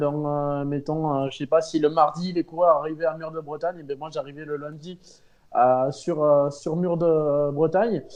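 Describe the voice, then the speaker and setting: With a slight Pyrenees accent, a man speaks at a fairly slow pace in a fairly high voice with a dark, mellow tone, against a quiet background. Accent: slight southern French (Pyrenees). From French Pyrenees. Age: 30s. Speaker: amateur cyclist, charity fundraiser. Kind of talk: interview. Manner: hesitant, many fillers.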